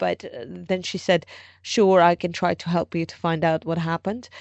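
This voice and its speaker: At a moderate pace, a woman talks in a plain, everyday voice. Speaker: journalist. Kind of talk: interview.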